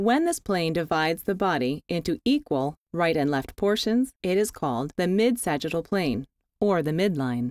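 A woman speaks at a moderate pace in a fairly low pitch with very wide pitch swings and very even loudness, dry and close with no echo, on a very clean recording with a silent background. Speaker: voice actor. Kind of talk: educational narration. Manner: clear, explanatory.

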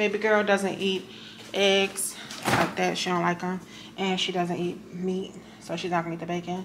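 Noticeable background noise beneath a woman's voice. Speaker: vlogger. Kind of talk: casual vlog chat. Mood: relaxed, chatty. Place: kitchen. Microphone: phone near.

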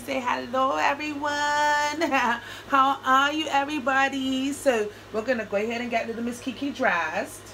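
A woman's raised, projected voice moves at a moderate pace over light background noise. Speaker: doll hobby vlogger. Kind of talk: casual vlog chat. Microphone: camera far.

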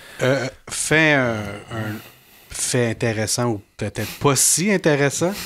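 With a Quebec accent, a man speaks very slowly at a medium pitch, his intonation lively. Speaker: podcast host. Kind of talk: casual chat.

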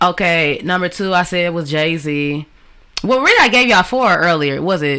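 A woman speaks with fairly low pitch. Her pace is moderate. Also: lively intonation. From Detroit area, Michigan; Michigan. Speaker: rapper; interview guest. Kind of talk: interview. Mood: relaxed, storytelling. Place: home room. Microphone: studio mic.

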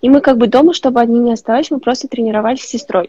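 Against a quiet background, a woman speaks at a high pitch in a dark, mellow tone, with a dry sound and no echo. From Uzbekistan. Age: 20s. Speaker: rhythmic gymnast; guest. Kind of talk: interview. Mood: warm, grateful, motivational. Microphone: earbuds.

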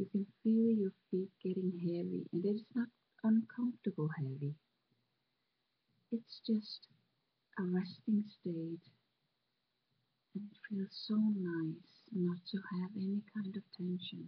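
A woman with a non-native accent speaks at a very slow pace, leaving long, frequent pauses. Her medium-pitched, somewhat breathy voice shows ordinary pitch variation. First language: not English. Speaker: meditation guide. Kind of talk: guided relaxation. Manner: slow, soft-spoken.

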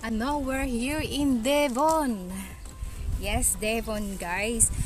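A woman with an Eastern Visayan accent speaks very slowly at a fairly high pitch, with ordinary pitch variation. The sound is dry with no echo, and music plays clearly in the background. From Philippines, Eastern Visayas (Waray-speaking). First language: Waray (speaking Tagalog). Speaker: travel vlogger. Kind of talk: casual vlog. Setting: outdoors. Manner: animated. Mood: cheerful. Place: open country. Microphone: phone near.

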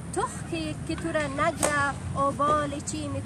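A woman at a fairly slow pace, dry sound with no echo, loud background noise behind her. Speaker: poetry reciter. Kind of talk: poetry reading. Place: open country.

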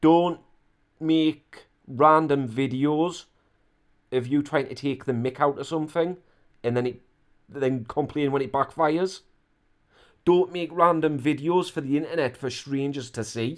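A man talks at a fairly slow pace with long, frequent pauses. The background is quiet. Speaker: reaction commentator. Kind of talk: commentary. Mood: exasperated, mocking. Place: home room.

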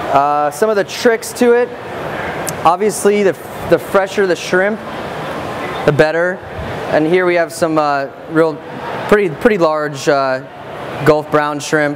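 Amid noticeable background noise, a man talks at a fairly slow pace with long, frequent pauses and ordinary pitch variation. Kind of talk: cooking demonstration. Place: stage. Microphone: lapel.

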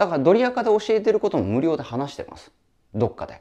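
A man speaks in a dark, mellow tone with very wide pitch swings. His pace is fairly quick over a quiet background. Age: 40s. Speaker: online business coach. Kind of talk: lecture-style solo video talk. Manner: casual, talkative, joking. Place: home room. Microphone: lapel.

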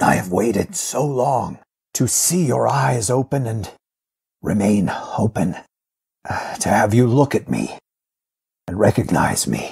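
A raspy put-on character voice moves at a fairly slow pace with long, frequent pauses. Its intonation is lively. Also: man, medium pitch for a man. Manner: calm, firm, stern but caring.

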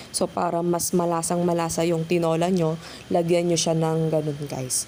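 The speech comes at a moderate pace with noticeable background noise behind it. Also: woman. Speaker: vlogger. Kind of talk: cooking tutorial. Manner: casual, filler-heavy.

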